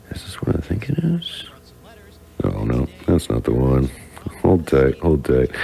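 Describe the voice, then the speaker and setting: A man's voice against noticeable background noise. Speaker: radio DJ. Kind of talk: live radio talk. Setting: radio studio. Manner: casual, halting with fillers.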